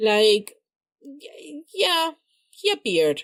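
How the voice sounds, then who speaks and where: A woman with a non-native accent speaks at a fairly high pitch. The recording is very clean, with a silent background. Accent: non-native English, self-conscious. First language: not English. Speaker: YouTuber, drama reactor. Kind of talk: casual monologue ranking video. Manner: halting, many fillers and restarts.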